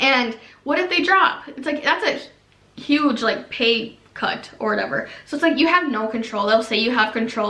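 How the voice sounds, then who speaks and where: Over noticeable background noise and audible room echo, a woman talks in an animated tone at a fairly high pitch. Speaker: YouTuber, former MLM coach. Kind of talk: casual vlog monologue. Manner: fast.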